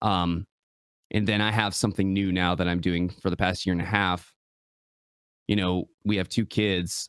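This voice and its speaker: In a very clean recording with a silent background, a man with an Upper Midwest accent talks in a very deep, low voice at a moderate pace, his delivery monotone and flat, his loudness very even, with long, frequent pauses and a dry, close sound with no echo. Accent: Upper Midwest American. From Michigan. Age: 30s. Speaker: content creator. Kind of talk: casual chat.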